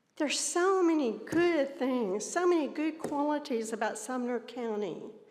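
Lively intonation accompanies a fairly slow pace of speech. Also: woman. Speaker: citizen speaking at public comment. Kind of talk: public comment at a county meeting. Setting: county commission chambers.

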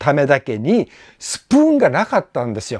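Dry sound with no echo, a quiet background and a man's voice. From Japan, Amami Oshima; Japan. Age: 60s. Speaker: YouTuber and tour guide; former student recalling a teacher. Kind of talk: casual monologue vlog. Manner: halting, many fillers; polite, formal. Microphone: lapel.

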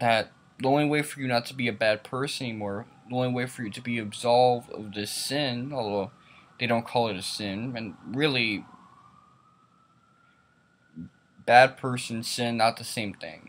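A man at a moderate pace with fairly even intonation and long, frequent pauses. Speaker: vlogger. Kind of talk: casual opinion vlog rant. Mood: annoyed, critical. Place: home room. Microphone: webcam.

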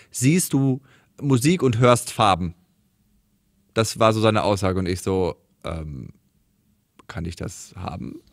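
The intonation is lively as a man talks fairly slowly. Nothing much sounds behind him, the background quiet. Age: 30s. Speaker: podcast host, comedian. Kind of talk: casual chat. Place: studio.

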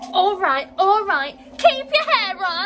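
A put-on character voice with a bright, sharp tone swings widely in pitch. It moves at a slow pace over faint background noise.

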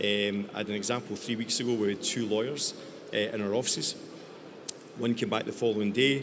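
A man with a Scottish accent at a very fast pace, with ordinary pitch variation and noticeable background noise. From Scotland. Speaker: tech company founder. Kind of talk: panel discussion. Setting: stage with audience. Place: stage. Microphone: handheld.

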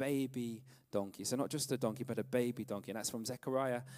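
With ordinary pitch variation, a man's dark, mellow tone stands out against a quiet background. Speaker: preacher. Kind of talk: sermon. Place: church. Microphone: handheld.

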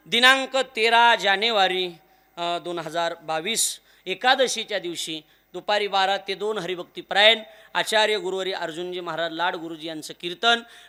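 Bright and sharp in tone, a man's high voice is raised and projected, with big swings in loudness. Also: ordinary pitch variation. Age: 20s. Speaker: kirtan preacher. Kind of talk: devotional sermon (kirtan). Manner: emotional, declamatory.

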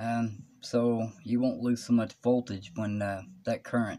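The pace is fairly slow. The background stays quiet. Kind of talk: tutorial. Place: workshop. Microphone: phone near.

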